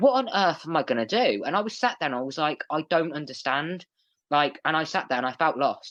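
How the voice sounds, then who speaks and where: An animated, bubbly voice with an English accent at a fairly quick pace over a quiet background. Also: man. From England. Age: 20s. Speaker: guest on mental health podcast. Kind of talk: interview, personal story.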